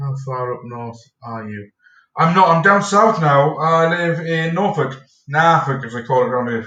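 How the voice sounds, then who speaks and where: Bright and sharp in tone, a man's fairly high voice moves at a moderate pace with lively intonation and big swings in loudness. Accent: Teesside. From northern England, Stockton-on-Tees, Teesside. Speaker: streamer. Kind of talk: casual chat. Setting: live stream.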